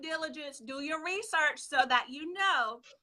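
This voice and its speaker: Her tone bright and sharp, a woman uses a raised, projected voice at a moderate pace with ordinary pitch variation. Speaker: personal finance live show host. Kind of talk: live stream talk. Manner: excited, hyper.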